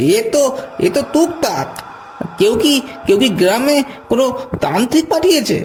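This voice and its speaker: The voice is a cartoonish character voice. Clear background noise is present. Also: moderate pace. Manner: stammering, panicky.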